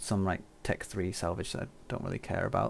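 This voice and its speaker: Soft-spoken, the speaker keeps up a fairly quick pace. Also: man. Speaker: game streamer. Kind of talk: live stream tutorial.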